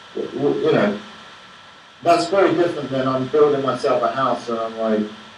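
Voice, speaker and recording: Audible room echo and noticeable background noise. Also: man, fairly quick pace. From England. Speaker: film director. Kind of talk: Q&A after a film screening. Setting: Skype video call from New York. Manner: hesitant, many repetitions. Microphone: low quality Skype sound.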